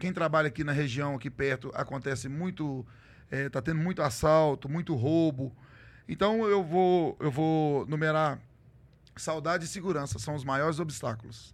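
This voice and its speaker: Speaking at a moderate pace, a man has a fairly high pitch and ordinary pitch variation in an unremarkable speaking voice. The recording is very clean and the background silent. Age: middle-aged. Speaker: truck driver and social media content creator. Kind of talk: casual interview chat.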